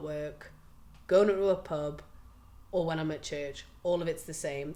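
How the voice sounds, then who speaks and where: Speaking in a Geordie accent, a woman keeps her intonation fairly even. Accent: Geordie (Tyneside). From northern England, Newcastle (Gosforth). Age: 30s. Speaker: butcher. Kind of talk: documentary interview. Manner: hesitant, with fillers.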